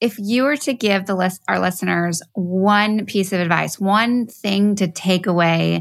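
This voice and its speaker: A plain, everyday voice moves at a fairly slow pace with ordinary pitch variation. The recording is very clean, with a silent background. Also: woman. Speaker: podcast host. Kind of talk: casual interview. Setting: studio.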